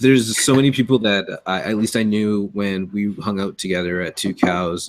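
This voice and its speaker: A man speaks at a moderate pace in a fairly low pitch, with ordinary pitch variation. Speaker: podcast co-host. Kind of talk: casual chat. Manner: halting.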